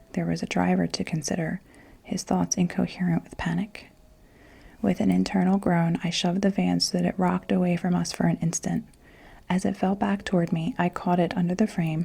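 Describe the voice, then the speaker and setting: Her voice is fairly low with a dark, mellow tone and vocal fry. This woman talks at a fairly quick pace in a monotone, flat intonation. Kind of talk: ASMR bedtime story reading. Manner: whispered, soft-spoken.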